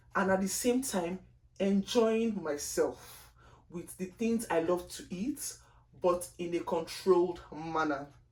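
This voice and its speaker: Spoken with a strong Nigerian accent, the voice moves at a very slow pace with ordinary pitch variation. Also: woman. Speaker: lifestyle vlogger. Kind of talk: casual vlog monologue. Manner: deliberately slow; chatty, expressive.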